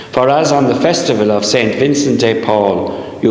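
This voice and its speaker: Audible room echo and light background noise surround a man speaking at a fairly slow pace with lively intonation. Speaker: priest. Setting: church. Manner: solemn, reverent, fervent prayer in a measured liturgical cadence. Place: church. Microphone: camera far.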